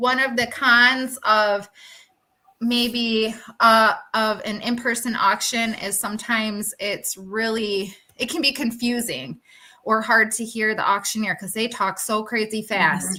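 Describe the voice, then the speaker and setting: Using an ordinary speaking voice, a woman talks at a fairly slow pace, fairly high in pitch, with fairly even intonation. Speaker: furniture flipper. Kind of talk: casual chat. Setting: live stream panel.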